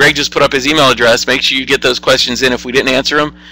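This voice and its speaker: Very fast speech from a man, music playing behind him. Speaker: engineering college dean presenting to prospective students. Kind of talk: online Q&A presentation. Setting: webinar.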